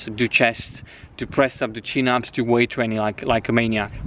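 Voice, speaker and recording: A man with a Romanian accent. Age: 20s. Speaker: fitness coach. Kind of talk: personal life story. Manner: casual, with frequent restarts and fillers.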